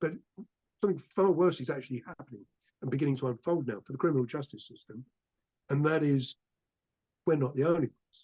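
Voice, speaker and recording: A man talks at a very fast pace with long, frequent pauses, his pitch fairly high and its variation ordinary. His tone is dark and mellow, and the sound is dry and close with no echo. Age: 60s. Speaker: climate campaigner. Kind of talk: public talk. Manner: impassioned.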